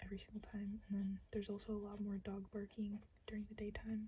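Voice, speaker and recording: A soft-spoken woman talks at a fairly quick pace in a relaxed, somewhat breathy voice with monotone, flat intonation. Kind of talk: soft-spoken ASMR ramble to camera. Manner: soft-spoken, relaxed, rambling.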